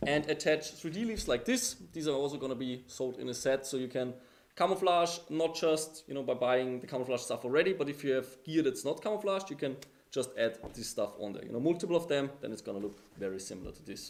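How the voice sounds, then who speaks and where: Talking at a very fast pace with big swings in loudness, a man with an Austrian accent uses a fairly high pitch. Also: lively intonation. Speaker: airsoft gear company presenter. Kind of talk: product reveal livestream.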